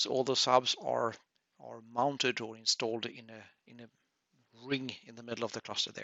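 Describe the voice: Recorded dry and close with no echo, a man with vocal fry talks at a moderate pace and medium pitch, showing little pitch movement and a fairly bright tone.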